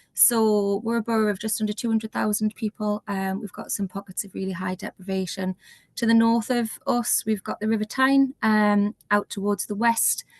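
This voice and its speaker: At a moderate pace, a woman speaks in a somewhat breathy, fairly high voice with monotone, flat intonation and a dry, close sound with no echo. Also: hardly any pauses. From northeast England, Gateshead. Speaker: public health active travel manager. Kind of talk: presentation talk. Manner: hesitant, many fillers.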